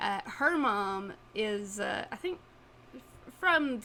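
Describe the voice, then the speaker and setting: In an East Tennessee accent, a woman speaks with a fairly high pitch and a bright, sharp tone. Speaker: podcast co-host. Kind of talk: casual chat.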